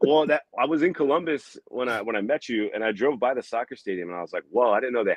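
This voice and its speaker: A man with a Midwestern US accent talks at a very fast pace. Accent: US Midwest. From Iowa, Des Moines. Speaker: comedian. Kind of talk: casual chat. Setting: podcast.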